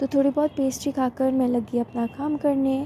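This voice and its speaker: A woman with a high pitch talks at a moderate pace in a monotone, flat intonation, with noticeable background noise. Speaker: vlogger. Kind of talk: vlog voice-over narration.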